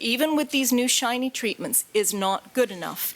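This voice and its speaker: In a Canadian accent, a woman speaks at a moderate pace with ordinary pitch variation. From Canada. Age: 50s. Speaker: patient advocate. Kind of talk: conference talk.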